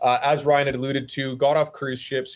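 Speaking at a moderate pace, a man is heard over a quiet background. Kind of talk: interview answer. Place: home room. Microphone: webcam.

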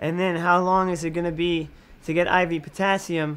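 A high-pitched, breathy male voice with flat, monotone intonation. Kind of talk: interview answer. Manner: weak, labored, breathy speech. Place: home room.

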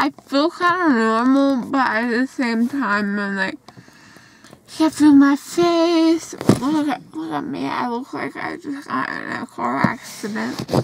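Speaking very slowly in a high pitch, a woman sounds dry with no echo, against noticeable background noise. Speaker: vlogger after dental surgery. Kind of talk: casual vlog chat. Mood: groggy but playful. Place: car. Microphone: phone near.

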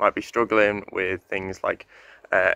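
The man's pitch is fairly low, and he keeps a moderate pace. The sound is dry with no echo, over a quiet background. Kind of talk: devotional talk. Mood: calm, sincere. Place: garden. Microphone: phone near.

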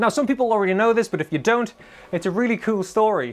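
A man speaks in a Geordie accent at a very fast pace. His tone is upbeat and enthusiastic. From Newcastle area, northern England. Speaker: guitar retailer presenter. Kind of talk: scripted-style educational video monologue. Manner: upbeat, enthusiastic. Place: shop.

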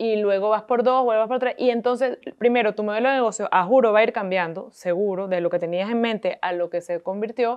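With a Venezuelan accent, a woman speaks at a fairly quick pace and a fairly high pitch. Her pitch varies in an ordinary way, and the background is quiet. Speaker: entrepreneur, coworking space owner; guest. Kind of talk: interview. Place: home room. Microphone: lapel.

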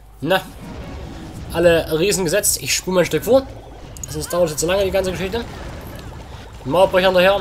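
The speech comes at a fairly quick pace with ordinary pitch variation, with noticeable background noise. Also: man. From Saxony, Germany. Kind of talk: casual gameplay commentary. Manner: quieter than usual.

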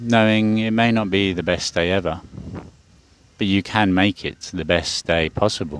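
A man with a fairly low pitch talks in a normal speaking voice with fairly even intonation. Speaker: meditation teacher. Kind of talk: live guided evening sleep meditation, second-person breath cues. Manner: slow, soothing and hypnotic, long flowing run-on sentences; warm, gently affirming, spiritual blessings.

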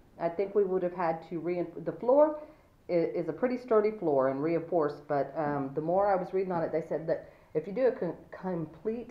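Room echo is audible as she talks at a moderate pace. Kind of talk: casual build commentary. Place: home room. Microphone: phone near.

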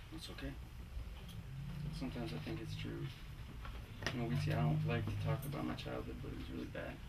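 A man talks at a very fast pace yet leaves long, frequent pauses, with loud background noise behind him. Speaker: actor playing a male love interest. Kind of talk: dramatic script reading. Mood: quiet, confessional, subdued. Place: shop.

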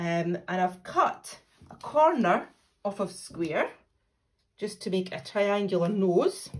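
Over a quiet background, a woman speaks at a very slow pace with ordinary pitch variation. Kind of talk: craft tutorial. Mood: friendly, warm. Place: home room. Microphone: phone near.

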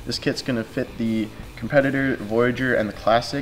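Faint music plays in the background as a man speaks fairly quickly in a monotone, flat intonation. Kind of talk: tutorial. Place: workshop.

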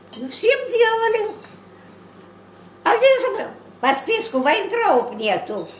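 Very slow and broken by long, frequent pauses, a woman's extremely high voice shows big swings in loudness against audible room echo and light background noise. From Moscow, Russia. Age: 80s+. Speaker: grandmother. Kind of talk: family interview, telling a personal story. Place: kitchen. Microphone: camera far.

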